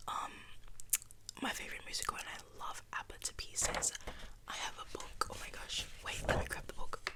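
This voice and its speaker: A woman whispers at a moderate pace, with long, frequent pauses. Noticeable background noise can be heard. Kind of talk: ASMR whisper video, casual talk to camera. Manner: whispered, soft.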